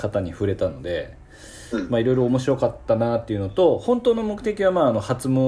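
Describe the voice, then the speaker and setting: A man talks at a fairly quick pace, and noticeable background noise is present. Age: 40s. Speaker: salon owner podcast host. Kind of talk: casual chat. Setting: video call.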